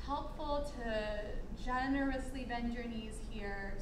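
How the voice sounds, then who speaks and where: Someone talks at a fairly slow pace. There is noticeable background noise throughout. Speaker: yoga instructor. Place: gym. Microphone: camera far.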